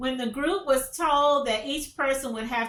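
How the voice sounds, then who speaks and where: A woman speaks with a bright, sharp tone and ordinary pitch variation. Her delivery sounds animated. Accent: North Carolina. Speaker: commentary vlogger. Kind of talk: casual news commentary.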